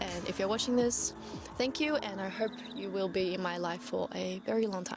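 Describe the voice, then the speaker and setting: Over music in the background, a woman talks at medium pitch and a fairly quick pace with ordinary pitch variation. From Melbourne, Australia (born in China, moved at seven). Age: 20s. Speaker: vlogger. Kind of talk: casual talk to camera.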